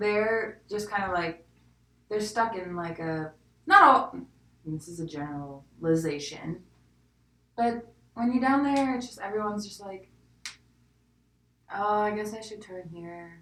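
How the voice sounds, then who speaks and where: A woman with a slight Southern accent talks at a fairly slow pace in a medium pitch, her intonation lively. Her loudness swings widely, and she leaves long, frequent pauses. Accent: slight southern twang. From US South. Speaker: podcast co-host. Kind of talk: casual chat.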